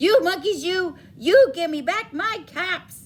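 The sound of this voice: A woman does a put-on character voice at an extremely high pitch. She goes at a slow pace with lively intonation.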